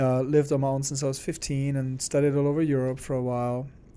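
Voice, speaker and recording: Delivered at a fairly quick pace in a German accent, the voice has a dark, mellow tone and a monotone, flat intonation. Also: man. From Germany, small town. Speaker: arts organization executive. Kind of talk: interview.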